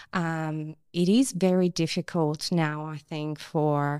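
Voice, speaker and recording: In a Persian accent, a woman speaks with a very deep, low pitch and monotone, flat intonation. The recording is very clean, the background silent. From Iran. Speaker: activist and actress. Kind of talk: interview.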